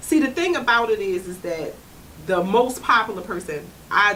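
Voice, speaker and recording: The speech moves at a moderate pace with ordinary pitch variation. Audible room echo and noticeable background noise surround it. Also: woman. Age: 30s. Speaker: comedian. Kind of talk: casual chat. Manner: conversational, frequent 'you know what I'm saying'.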